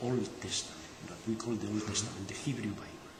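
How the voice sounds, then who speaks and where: The speaker has a strong non-native accent, and there is noticeable background noise. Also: man. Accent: thick foreign. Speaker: Dead Sea Scrolls scholar. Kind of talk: interview answer. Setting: poor recording, boosted.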